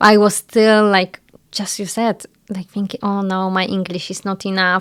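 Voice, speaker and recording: A woman with a Polish accent speaks at a moderate pace at a medium pitch. Her intonation is monotone and flat. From Poland. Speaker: home staging business owner. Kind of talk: interview.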